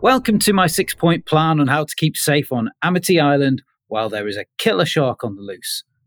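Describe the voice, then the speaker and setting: Talking at a fairly quick pace with hardly any pauses, a man with a fairly high pitch makes very wide pitch swings, captured on a very clean, silent-background recording with a dry, close sound and no echo. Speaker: podcast panelist. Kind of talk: casual chat.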